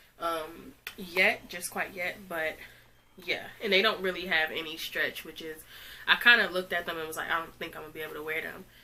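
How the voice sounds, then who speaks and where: The delivery moves at a fairly quick pace with fairly even intonation and big swings in loudness. Noticeable background noise is present. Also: woman, fairly low pitch for a woman. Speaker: fashion youtuber. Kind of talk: try-on haul. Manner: casual, filler-heavy.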